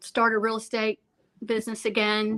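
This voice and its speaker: A woman with a Southern US accent, fairly high in pitch, with a bright, sharp tone. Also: very clean recording, silent background. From Alabama. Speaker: real estate agent. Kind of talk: interview.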